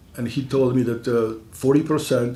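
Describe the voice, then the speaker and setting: The speaker has a non-native accent and keeps a moderate pace. Noticeable background noise and audible room echo fill the recording. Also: man. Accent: foreign. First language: not English. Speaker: school board candidate. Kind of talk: candidate forum statement. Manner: halting, many fillers.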